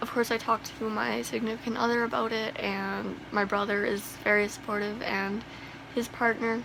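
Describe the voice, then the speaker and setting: Over noticeable background noise, a woman with a fairly high pitch talks in a monotone, flat intonation. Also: moderate pace. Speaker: vlogger sharing personal transition. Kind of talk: personal vlog confession. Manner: halting.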